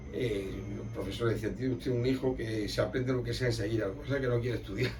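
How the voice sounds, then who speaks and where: A man is talking. Noticeable background noise runs under his voice. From Extremadura, Spain. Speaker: emigrant, folk group member. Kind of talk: oral history interview answer.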